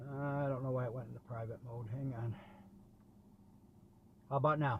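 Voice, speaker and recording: A somewhat breathy man speaks at a medium pitch and a fairly quick pace with monotone, flat intonation. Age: 70s. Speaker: delivery driver. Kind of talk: casual talk to camera.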